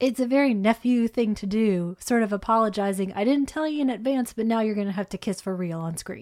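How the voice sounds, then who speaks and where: A woman speaks at a fairly quick pace with hardly any pauses, in an ordinary speaking voice. Her pitch is fairly high, with ordinary variation. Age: 40s. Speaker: podcast co-host. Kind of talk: casual film discussion.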